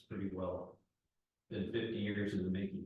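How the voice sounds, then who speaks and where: At a moderate speed, the speech comes out somewhat breathy. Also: man. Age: 70s. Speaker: audience member, native plant gardener and naturalist. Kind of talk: audience Q&A discussion. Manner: halting, frequent fillers.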